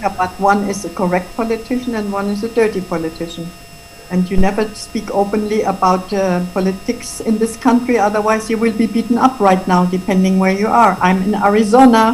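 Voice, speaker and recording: A woman speaks fairly quickly and with fairly even intonation as noticeable background noise carries on. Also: medium pitch for a woman. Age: 70s. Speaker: interviewee. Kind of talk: interview.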